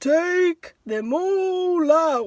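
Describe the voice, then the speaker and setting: A woman puts on a character voice at an extremely high pitch. Her intonation is lively. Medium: read story.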